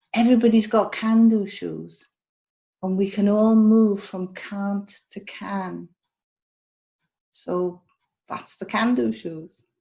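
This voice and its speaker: Speaking very slowly with long, frequent pauses, a woman with a Welsh accent has a dark, mellow, somewhat breathy tone at a medium pitch, fairly even intonation, and big swings in loudness. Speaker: health and wellness coach. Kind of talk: interview podcast. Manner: repetitive, hesitant phrasing.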